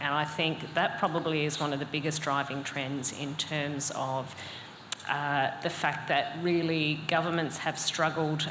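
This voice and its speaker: Over noticeable background noise and audible room echo, a woman with a very deep, low pitch speaks at a moderate pace in a monotone, flat intonation. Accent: Australian. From Australia. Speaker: cybersecurity consultant. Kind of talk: panel discussion. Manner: hesitant, many fillers.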